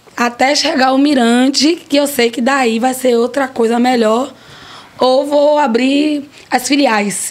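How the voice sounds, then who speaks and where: Over noticeable background noise, a woman with a high pitch speaks at a very slow pace, with fairly even intonation and very even loudness. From Brazil, Piauí (Piripiri). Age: 40s. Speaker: restaurant owner. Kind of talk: interview. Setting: studio.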